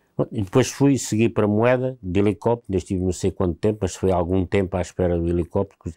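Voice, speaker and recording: This man's dark, mellow tone moves at a fairly quick pace with ordinary pitch variation, and the sound is dry and close with no echo. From Alentejo, Portugal (Montemor-o-Novo). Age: 60s. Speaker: war veteran. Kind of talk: interview testimony.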